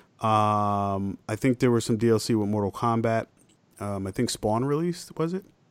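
Speaking in a normal speaking voice, a man keeps a medium pitch, moderate pace and ordinary pitch variation, the sound dry and close with no echo. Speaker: podcast host. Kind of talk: casual chat. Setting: video call.

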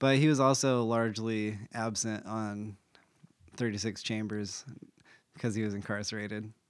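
At a moderate pace, a man with a fairly low pitch speaks with fairly even intonation and long, frequent pauses. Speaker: podcast host explaining a topic. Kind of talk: casual explainer chat with a friend, explicit language.

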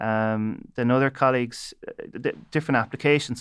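A man's medium-pitched voice in an Irish midlands accent, with monotone, flat intonation against a quiet background. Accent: Irish (north midlands). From Ireland, County Leitrim. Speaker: bioengineering researcher. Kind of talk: panel discussion.

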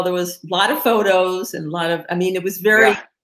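Here is a normal speaking voice with lively intonation, moving at a fairly quick pace. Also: woman. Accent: American. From Maryland/Virginia area, US. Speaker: PR and marketing firm CEO. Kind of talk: casual interview.

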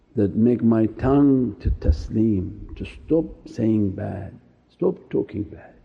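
Somewhat breathy, a man speaks at a fairly low pitch and a very slow pace. His intonation is lively, and his loudness swings widely. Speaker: Sufi teacher. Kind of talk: sermon; fervent prayer, a pleading supplication spoken to the Prophet, with humble self-abasement. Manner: fervent, pleading, devotional, intense, urgent supplication with emotion.

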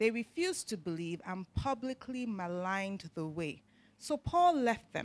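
A woman speaks at a moderate pace in an unremarkable speaking voice, her medium pitch carried by lively intonation in a dry, close sound with no echo. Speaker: scripture reader. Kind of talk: reading aloud.

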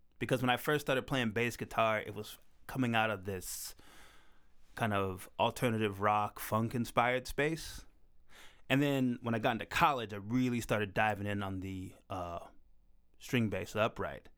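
In a very clean recording with a silent background, a man with an American accent and a normal speaking voice talks at a moderate pace and a medium pitch, with ordinary pitch variation. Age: 30s. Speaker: jazz bass player. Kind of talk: casual interview. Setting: studio.

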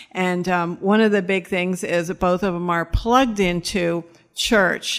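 A woman with an American accent talks at a fairly slow pace in a plain, everyday voice, medium in pitch with ordinary pitch variation. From New York, then Florida. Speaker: rehab program director. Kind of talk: testimony.

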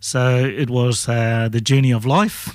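A man's medium-pitched voice with a New Zealand accent, dry and close with no echo, on a very clean recording against a silent background. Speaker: political candidate and businessman. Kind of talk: radio interview. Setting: radio studio.

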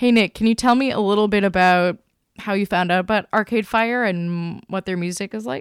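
An ordinary speaking voice from a woman, medium in pitch with ordinary pitch variation, at a fairly quick pace, in a dry, close sound with no echo and a very clean recording over a silent background. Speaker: podcast editor. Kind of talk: moderated podcast discussion.

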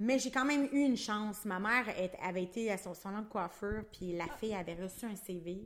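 A woman with a Quebec accent, medium pitch, fairly quick pace and hardly any pauses. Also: ordinary pitch variation. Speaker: aesthetic clinic owner. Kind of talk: casual chat. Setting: studio.

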